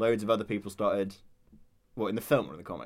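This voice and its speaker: This is a man talking. His pitch is fairly low. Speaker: podcast co-host, recent graduate. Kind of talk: casual chat.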